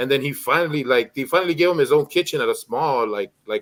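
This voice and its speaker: The speech comes at a very fast pace with lively intonation. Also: man. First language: Spanish. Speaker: streamer. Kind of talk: casual chat.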